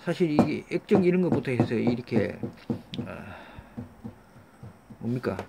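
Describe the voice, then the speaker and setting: The speaker talks at a moderate pace, with pitch that swings very widely. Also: man. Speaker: scrap recycling YouTuber. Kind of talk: tutorial. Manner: halting, many fillers and restarts.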